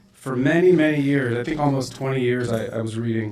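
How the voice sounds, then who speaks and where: Over noticeable background noise, a man speaks at a moderate pace in a medium pitch with fairly even intonation. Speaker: organization president introducing speaker. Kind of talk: speaker introduction at event.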